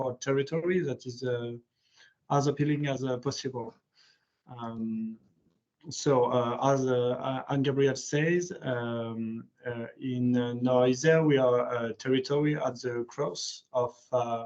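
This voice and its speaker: A man with a French accent speaks at a fairly slow pace, his medium-pitched voice moving with fairly even intonation. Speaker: parliamentary aide. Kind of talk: online presentation. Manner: halting.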